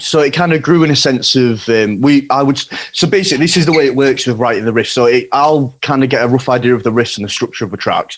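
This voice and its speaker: A man with a Yorkshire accent talks very fast at medium pitch with ordinary pitch variation and hardly any pauses, over noticeable background noise. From Yorkshire, northern England. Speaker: hardcore band guitarist. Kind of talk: casual chat.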